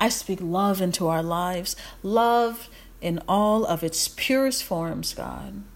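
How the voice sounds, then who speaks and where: Speaking at a very slow pace, a woman has an American accent. Her tone is warm and her pitch medium. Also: ordinary pitch variation. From USA. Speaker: inspirational podcaster and YouTuber. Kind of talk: fervent spoken prayer, rhythmic declarations of blessing over listeners. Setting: recorded on video at home. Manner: repetitive incantatory cadence, building emphatic declarations; warm, effusive, casual with laughter.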